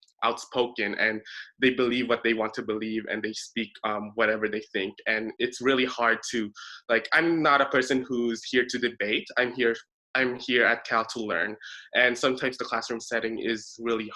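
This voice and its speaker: A man's medium-pitched, bright, sharp voice at a moderate pace, fairly even intonation, quiet background. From immigrant, abroad. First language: not English. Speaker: university student panelist. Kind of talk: panel discussion. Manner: halting.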